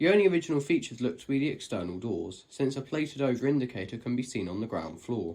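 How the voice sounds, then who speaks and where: A man at medium pitch talks very fast with hardly any pauses, vocal fry and very wide pitch swings. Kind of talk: narrated voiceover for a lift video. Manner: casual, conversational.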